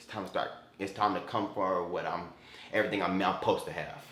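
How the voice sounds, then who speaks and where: A man talks in an animated tone with an American accent and a fairly low pitch. Room echo is audible. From Florida. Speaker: YouTuber. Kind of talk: casual vlog Q&A. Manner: halting with repetitions.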